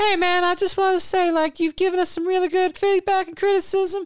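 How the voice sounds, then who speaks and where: This man uses a put-on character voice. His pitch is extremely high. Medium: actual play. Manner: laid-back, dude-speak, earnest.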